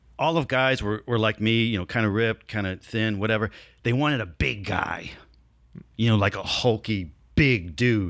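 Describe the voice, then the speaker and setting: Heard on a very clean recording with a silent background, a man with a plain, everyday voice and an American accent speaks at a moderate pace in a fairly low pitch with ordinary pitch variation. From New Jersey and Southern California. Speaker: actor. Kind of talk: casual interview.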